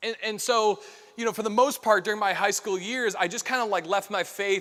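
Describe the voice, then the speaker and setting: A man with a Chicago accent talks in a high pitch. His tone is bright and sharp. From US Midwest, Chicago area. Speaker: keynote speaker. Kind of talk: keynote talk with personal testimony. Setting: stage with audience. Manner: fast; casual, many fillers and restarts.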